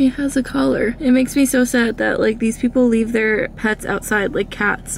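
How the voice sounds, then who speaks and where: Recorded dry with no echo over light background noise, a woman speaks at a moderate pace with ordinary pitch variation. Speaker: vlogger. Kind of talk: casual vlog chat.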